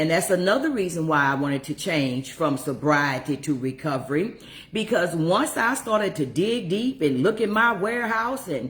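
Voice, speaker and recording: The pitch makes very wide swings. Delivery comes at a fairly slow pace. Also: woman. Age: 60s. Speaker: recovery coach. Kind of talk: livestream monologue.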